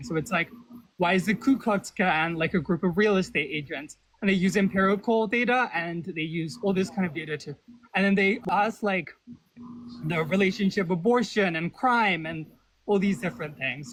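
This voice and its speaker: Someone mumbles in a put-on character voice at a moderate pace. The pitch varies in an ordinary way. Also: man, high pitch for a man. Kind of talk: casual, conversational. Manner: mumbling and jumbling.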